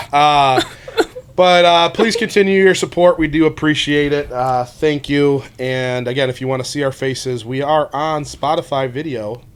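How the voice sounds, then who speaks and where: Against noticeable background noise, a man talks with a fairly high pitch and ordinary pitch variation. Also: moderate pace. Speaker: sports podcast co-host. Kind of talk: casual chat. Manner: loud.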